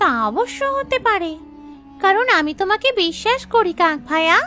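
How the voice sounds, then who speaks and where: A female-sounding, cartoonish character voice speaks at a moderate pace in an extremely high pitch with very wide pitch swings. Clear music plays in the background. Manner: gentle, earnest.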